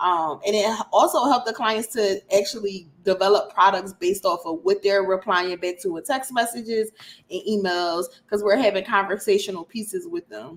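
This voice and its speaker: A woman with a plain, everyday voice talks at a moderate pace in a medium pitch with ordinary pitch variation. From US, Philadelphia. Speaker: email marketing specialist. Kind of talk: interview.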